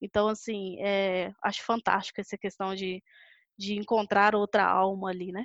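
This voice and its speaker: In a dry, close sound with no echo and a quiet background, a woman talks at a moderate pace and medium pitch with monotone, flat intonation. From Brazil, Belo Horizonte (Minas Gerais). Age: 20s. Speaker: sales director. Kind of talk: casual interview.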